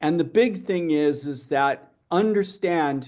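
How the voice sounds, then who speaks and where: Speaking at a very slow pace, a man with a fairly high pitch uses lively intonation. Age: 60s. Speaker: metabolic health researcher. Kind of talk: conference Q&A. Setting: live-streamed conference.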